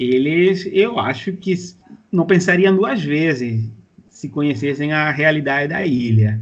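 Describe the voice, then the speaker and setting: This man's intonation is lively and his pitch fairly high. He speaks at a fairly slow pace. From Cuba. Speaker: university professor, geographer. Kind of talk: interview answers. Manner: halting, many fillers.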